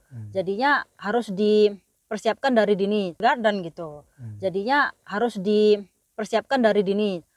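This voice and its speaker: A woman in a normal speaking voice talks at a moderate pace and medium pitch with ordinary pitch variation and hardly any pauses. Her loudness swings widely, and the sound is dry with no echo over a quiet background. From Indonesia. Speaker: vlogger and parent; parent vlogger. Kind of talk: casual vlog talk. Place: car. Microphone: phone near.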